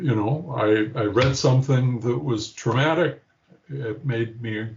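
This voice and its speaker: A man speaks very slowly in a somewhat breathy voice with lively intonation. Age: 70s. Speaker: therapy patient. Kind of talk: interview testimony. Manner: halting.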